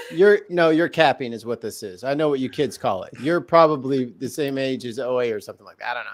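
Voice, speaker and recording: A man talks at a very fast pace with hardly any pauses, his fairly high voice making big swings in loudness. Noticeable background noise sits behind him. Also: ordinary pitch variation. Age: 30s. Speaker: podcast guest. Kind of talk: casual chat. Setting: livestream.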